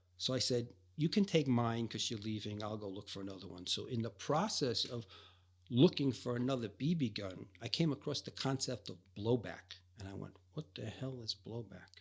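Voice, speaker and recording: A man with an American accent, medium pitch, ordinary pitch variation, a somewhat breathy sound and big swings in loudness. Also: moderate pace. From New York City (Greenpoint, Brooklyn). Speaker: airsoft player. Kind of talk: casual chat.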